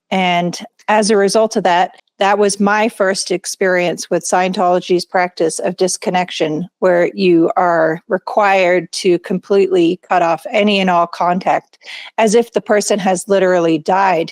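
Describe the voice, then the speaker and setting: A woman speaks at a medium pitch and a fairly slow pace, her intonation flat and monotone and her loudness very even, in a dry, close recording with no echo. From England. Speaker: former cult member. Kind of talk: interview testimony.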